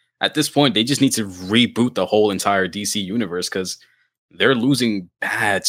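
Over a very clean recording with a silent background, a man with a normal speaking voice talks at a moderate pace, fairly low in pitch, with ordinary pitch variation. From moved around, mainly Pennsylvania from about age ten (born in the Bronx). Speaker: podcast host. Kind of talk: casual chat.

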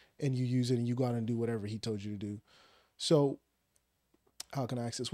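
A man at medium pitch talks with ordinary pitch variation in a dry, close sound with no echo. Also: very clean recording, silent background. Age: young. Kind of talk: casual chat.

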